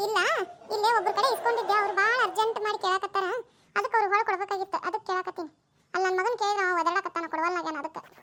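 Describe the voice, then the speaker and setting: In a cartoonish character voice, a woman talks at a very fast pace with an extremely high, squeaky pitch. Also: fairly even intonation. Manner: pushy, persistent.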